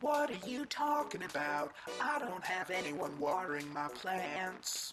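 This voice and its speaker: A put-on character voice at middle pitch, anxious in tone and fairly slow, with clear background noise. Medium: video game. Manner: anxious, rhyming sing-song.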